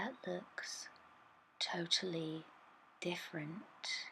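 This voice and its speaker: The speaker is whispering and soft-spoken. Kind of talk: ASMR art tutorial voiceover, soft-spoken talk to camera. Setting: voiceover recorded separately over original video. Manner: soft-spoken, whispering.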